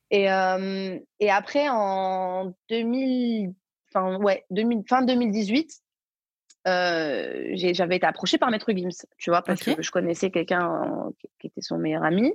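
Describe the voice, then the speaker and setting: Her pitch sits in the medium range, with ordinary variation. The woman speaks at a very slow pace in a dry, close sound with no echo. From Belgium. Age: 20s. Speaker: singer and social media influencer. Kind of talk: casual interview. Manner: halting, many fillers and repetitions.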